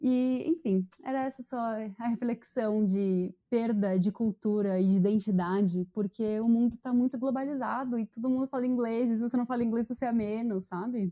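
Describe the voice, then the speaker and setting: The voice has a dark, mellow tone, ordinary pitch variation, a moderate pace, and hardly any pauses, in a dry, close sound with no echo. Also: woman, fairly high pitch for a woman. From Brazil, Pará. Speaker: podcast host. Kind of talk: casual chat.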